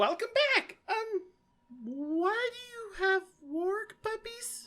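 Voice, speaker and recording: A female-sounding, put-on character voice, squeaky and extremely high in pitch. The words come out very slowly. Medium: actual play. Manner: earnest, lecturing.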